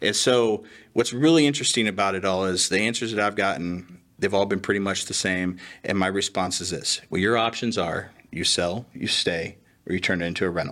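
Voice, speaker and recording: A man's fairly low voice has a bright, sharp tone, ordinary pitch variation and a fairly quick pace on a very clean recording with a silent background. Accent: American. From Indiana, US Midwest. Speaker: realtor. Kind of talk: casual interview.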